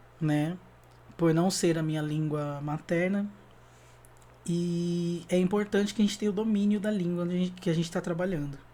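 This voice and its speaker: Speaking at a moderate pace, this man has a high pitch and a dark, mellow tone. His intonation stays fairly even, broken by long, frequent pauses. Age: 30s. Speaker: graphic designer and musician. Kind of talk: online workshop talk. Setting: online video talk. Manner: casual, frequent fillers.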